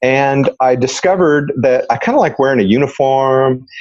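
A man uses an ordinary speaking voice at medium pitch, with ordinary pitch variation. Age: 50s. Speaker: retired police officer and real estate investor. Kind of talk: interview conversation.

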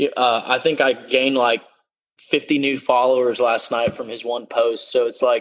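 This man's pitch is medium and his speed moderate. His delivery stays monotone and flat. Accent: Texan. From South Texas, San Antonio. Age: 20s. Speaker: country singer. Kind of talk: interview. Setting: video call. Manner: halting.

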